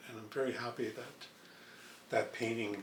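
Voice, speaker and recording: A man with a Canadian accent speaks at a fairly low pitch. Audible room echo and noticeable background noise fill the recording. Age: 70s. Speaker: painter. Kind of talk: interview. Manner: relaxed, with frequent fillers.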